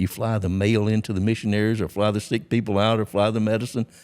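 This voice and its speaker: This man has a Southern US accent and a fairly low pitch. He speaks at a very fast pace. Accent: Southern American. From Georgia, USA. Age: 80s+. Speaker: former drug smuggling pilot. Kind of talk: interview answer.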